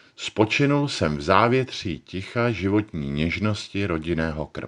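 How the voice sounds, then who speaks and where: A man at a fairly slow pace, with very wide pitch swings, against a quiet background. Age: 40s. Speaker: actor. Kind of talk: personal testimony narration.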